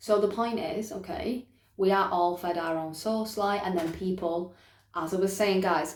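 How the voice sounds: At a fairly slow pace, a woman speaks in a fairly low pitch with ordinary pitch variation and audible room echo.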